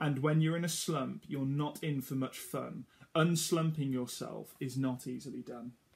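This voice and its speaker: A man speaks in a sing-song way at a moderate pace. His voice is somewhat breathy. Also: fairly high pitch for a man. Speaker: storytime reader for children. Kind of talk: reading a children's picture book aloud. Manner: rhythmic, sing-song rhyming cadence, running lines together breathlessly; warm, gently encouraging storyteller tone. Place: home room. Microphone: phone near.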